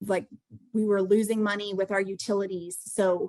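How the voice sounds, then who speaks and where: A woman speaks at medium pitch with fairly even intonation, in a dry, close sound with no echo. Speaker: real estate investor. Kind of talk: mentoring call presentation. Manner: fast.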